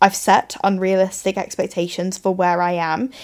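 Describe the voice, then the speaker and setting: A woman speaks at medium pitch in an English accent. The recording is very clean, with a silent background. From England. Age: 20s. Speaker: podcast host and coach. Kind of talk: casual monologue. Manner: chatty, filler-heavy.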